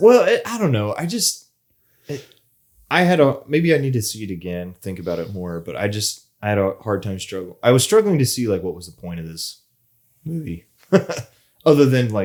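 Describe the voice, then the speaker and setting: A man's medium-pitched voice with very wide pitch swings, big swings in loudness, and long, frequent pauses. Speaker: podcast co-host. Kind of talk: casual chat. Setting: studio. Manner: fast.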